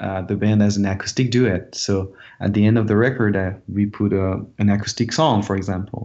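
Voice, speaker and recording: A fairly low-pitched man in a French accent, at a moderate pace. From France, Dijon. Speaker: rock musician. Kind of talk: interview.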